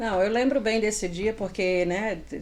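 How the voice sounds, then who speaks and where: A woman with a Paraíba accent at a moderate pace, with ordinary pitch variation. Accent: northeastern Brazilian (Paraíba). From Paraíba, northeastern Brazil. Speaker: retail salesperson and store manager. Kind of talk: interview.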